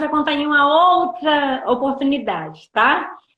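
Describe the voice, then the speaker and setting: A fairly slow pace with ordinary pitch variation. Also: woman. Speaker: missionary preacher. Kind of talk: testimony. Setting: livestream.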